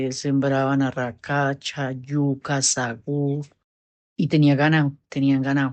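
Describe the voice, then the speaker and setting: At a very slow pace, a woman speaks in a very deep, low pitch. Her intonation is monotone and flat. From Colombia, Cundinamarca (Quetame). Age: 60s. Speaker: interviewee, elderly woman. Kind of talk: interview.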